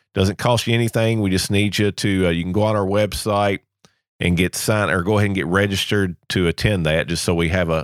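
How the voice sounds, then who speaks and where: A man talks at a fairly quick pace with ordinary pitch variation. The recording is very clean and dry, close, with a silent background and no echo. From Kentucky. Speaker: podcast host. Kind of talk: sponsor and announcements read; podcast interview.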